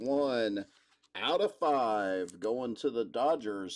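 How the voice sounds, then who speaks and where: Very slow pace from a man. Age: 40s. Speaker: sports card break host. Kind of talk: live card break stream. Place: studio.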